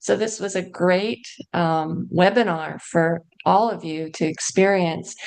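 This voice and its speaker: The speaker is a woman with a plain, everyday voice and a fairly low pitch. She goes at a fairly slow pace with ordinary pitch variation. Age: 60s. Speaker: patient peer mentor. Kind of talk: personal testimony. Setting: online webinar.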